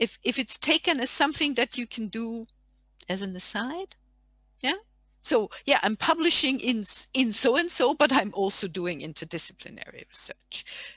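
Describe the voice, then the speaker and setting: A high-pitched woman's voice in a German accent, with very wide pitch swings and a moderate pace, recorded dry and close with no echo on a very clean, silent background. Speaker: academic panelist. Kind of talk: panel discussion.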